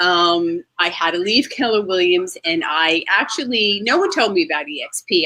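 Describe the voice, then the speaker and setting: In a New Jersey accent, a woman speaks at a moderate pace with lively intonation, in a dry, close sound with no echo. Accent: northern US (New Jersey). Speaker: real estate agent. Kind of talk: interview. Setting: outdoors.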